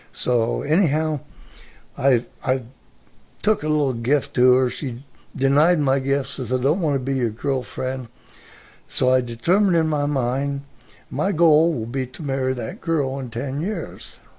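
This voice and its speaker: A man with an American accent speaks at a fairly slow pace in a fairly high pitch, his tone dark and mellow with ordinary pitch variation. Long, frequent pauses break up his speech. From US Midwest, Mansfield, Ohio. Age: 80s+. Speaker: retired grandfather. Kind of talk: casual interview.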